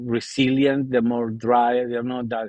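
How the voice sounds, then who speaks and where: A man with an Argentine accent, medium-pitched and fairly slow. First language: Spanish. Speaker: podcast host. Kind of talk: casual chat.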